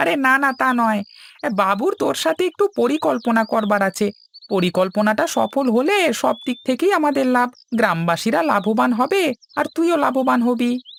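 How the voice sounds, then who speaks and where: In a cartoonish character voice, a man speaks at an extremely high pitch with very wide pitch swings, very even loudness and a moderate pace, in a dry, close sound with no echo. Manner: familiar, reassuring.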